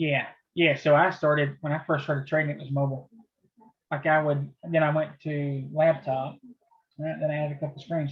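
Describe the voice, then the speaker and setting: A man with a fairly high pitch and a flat monotone at a moderate pace. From US South, southeast Tennessee near Chattanooga. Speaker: trading teacher running a chat room. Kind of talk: casual live trading video chat. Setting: video call.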